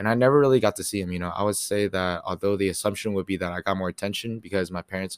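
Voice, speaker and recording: A man with an American accent speaks at a fairly low pitch with ordinary pitch variation. The sound is dry and close with no echo, on a very clean recording with a silent background. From Katy, Texas (suburban Houston). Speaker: college student podcaster. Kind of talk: solo monologue, part reading own paper. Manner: casual, halting with many fillers.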